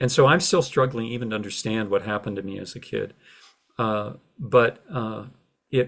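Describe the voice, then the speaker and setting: A man talks at a moderate pace with ordinary pitch variation, big swings in loudness, and long, frequent pauses. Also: medium pitch for a man. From United States. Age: 60s. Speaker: retired journalism professor and author. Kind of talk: interview. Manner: halting, many repeated words and fillers.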